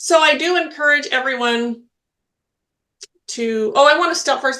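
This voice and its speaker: A woman speaks in a raised, projected voice at a moderate pace. Her pitch is high, with ordinary variation and a bright, sharp tone. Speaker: spiritual healer and medium, podcast co-host. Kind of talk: casual chat. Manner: loud.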